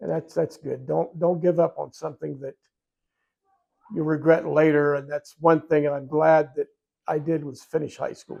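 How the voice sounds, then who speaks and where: In an American accent, a man with a fairly high pitch and a dark, mellow tone talks at a moderate pace with monotone, flat intonation and big swings in loudness. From Ohio, USA. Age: 70s. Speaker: war veteran. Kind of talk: interview answer.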